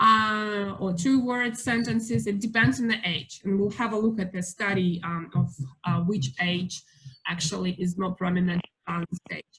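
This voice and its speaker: A woman with a Russian accent, fairly slow pace and ordinary pitch variation. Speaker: family daycare educator giving talk to parents. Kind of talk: lecture. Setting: video call. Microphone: video call.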